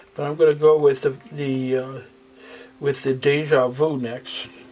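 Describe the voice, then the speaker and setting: A man speaks at a fairly high pitch. Background noise is noticeable. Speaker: acrylic pouring artist. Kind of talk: tutorial. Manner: halting.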